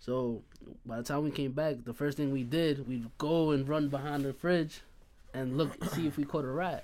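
An unremarkable speaking voice with an American accent keeps fairly even intonation at a moderate pace. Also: man, fairly high pitch for a man. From Hempstead, Long Island, New York. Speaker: podcast guest. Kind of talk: casual chat.

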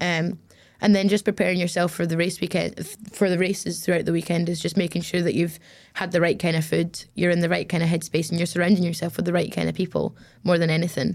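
Very fast, monotone speech with flat intonation and vocal fry, on a very clean recording with a silent background. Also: woman, fairly low pitch for a woman. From Glasgow, Scotland, raised partly in the Middle East. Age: 20s. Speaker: racing driver. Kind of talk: interview.

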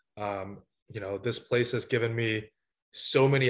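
A somewhat breathy male voice at medium pitch. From United States, moved from Vietnam at six. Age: 20s. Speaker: college volleyball coach. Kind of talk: interview. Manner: halting, with many fillers.

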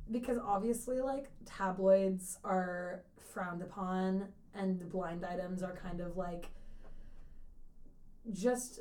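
A woman speaks loudly at a medium pitch. Her pace is fairly slow. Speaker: podcast co-host. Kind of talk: casual, profane, chatty.

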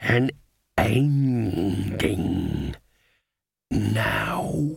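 This is a man's put-on character voice, fairly low, raspy and growling. The rasp and growl stay part of the act throughout. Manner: growling, pleading.

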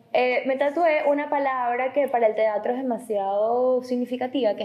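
At a moderate pace, a woman speaks at a high pitch. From Venezuela. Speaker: actress and model. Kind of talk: casual interview chat.

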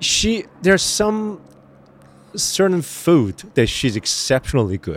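Using a Korean accent, a high-pitched man speaks at a very slow pace with very wide pitch swings. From Korea, raised in New Jersey. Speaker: actor. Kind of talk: casual chat. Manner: halting.

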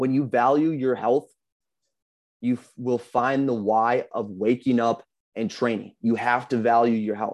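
A man speaks with an American accent and an unremarkable speaking voice. His pitch is medium, his intonation fairly even and his pace fairly slow. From US Midwest, Minnesota. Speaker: fitness coach and bodybuilding competitor. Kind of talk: pep talk.

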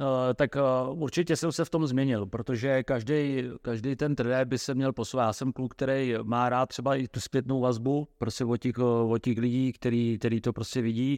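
A man with an ordinary speaking voice talks at a moderate pace in a medium pitch with fairly even intonation. The background is quiet, and the sound is dry and close with no echo. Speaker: football coach. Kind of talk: interview.

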